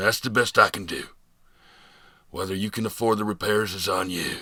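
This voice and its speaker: Using a put-on character voice, a man sounds raspy and fairly low-pitched while keeping a moderate pace. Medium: read story. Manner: gruff, sighing, blunt.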